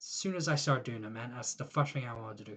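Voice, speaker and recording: A somewhat breathy man with an Irish accent, against a quiet background. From Ireland. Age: 20s. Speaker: YouTuber. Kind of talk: personal vlog monologue. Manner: casual, rambling.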